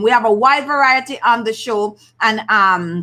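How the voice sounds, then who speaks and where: A high-pitched woman's voice in a Jamaican accent, bright and sharp in tone, with ordinary pitch variation and a fairly slow pace. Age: 50s. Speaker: beauty channel host. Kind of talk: live stream chat. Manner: casual, conversational.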